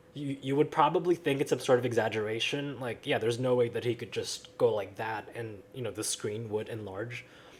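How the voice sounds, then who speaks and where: A man's somewhat breathy voice at a fairly quick pace, with ordinary pitch variation and hardly any pauses. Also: medium pitch for a man. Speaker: tech YouTuber. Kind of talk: casual talk to camera.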